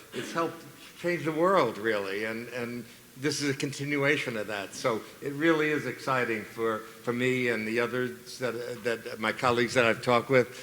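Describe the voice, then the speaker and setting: There is noticeable background noise and audible room echo. A man speaks at a moderate pace and medium pitch with ordinary pitch variation. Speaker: psychologist and keynote speaker. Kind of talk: conference keynote speech. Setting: stage with audience. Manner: halting, with many fillers and repetitions.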